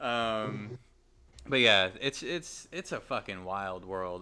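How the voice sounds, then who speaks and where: Over a very clean recording with a silent background, a man with a slight Southern US accent speaks fairly slowly in a bright, sharp tone. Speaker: gaming podcast host. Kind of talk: casual chat. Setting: podcast, live. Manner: animated.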